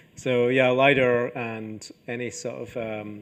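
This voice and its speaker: A man with a Scottish accent speaks with fairly even intonation. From northeast Scotland. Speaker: archaeology professor. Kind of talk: lecture Q&A. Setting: lecture hall with audience.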